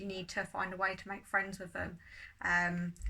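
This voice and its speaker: With a southern English accent, a woman talks at a moderate pace in a medium pitch. Her tone is bright and sharp. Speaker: tarot reader. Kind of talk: tarot reading monologue.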